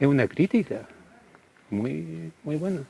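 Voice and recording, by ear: A man with a fairly high pitch and a dark, mellow tone speaks at a fairly slow pace with lively intonation, vocal fry and a slightly husky edge.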